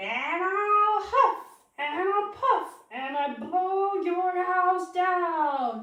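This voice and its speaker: A woman does a cartoonish character voice at an extremely high pitch, speaking very slowly with a slight echo. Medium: puppet.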